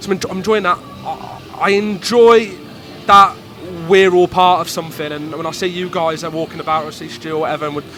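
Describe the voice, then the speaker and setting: With a Midlands accent, a man speaks fairly quickly in a high voice, his intonation fairly even but his loudness swinging widely, against noticeable background noise. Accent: Midlands accent, stronger with cold. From English Midlands. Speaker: football club executive. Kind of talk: casual interview.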